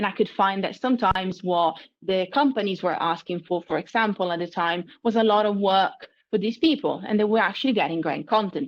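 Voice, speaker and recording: With an Italian accent, a woman speaks fairly quickly at medium pitch with ordinary pitch variation. The recording is very clean, with a silent background. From Italy. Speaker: marketing consultant. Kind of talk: interview.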